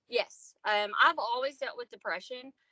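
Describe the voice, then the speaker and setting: A woman talks with a Southern accent. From US South, Arkansas. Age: 30s. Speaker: podcast guest, single mother. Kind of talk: casual interview chat.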